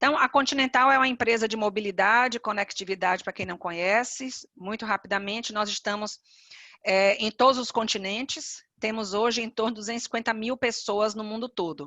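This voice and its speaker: In a Bahian accent, a woman with a fairly high voice speaks at a fairly quick pace with ordinary pitch variation. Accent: Bahian Brazilian Portuguese. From Bahia, Brazil (Salvador). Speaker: HR executive, panelist. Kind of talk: webinar presentation.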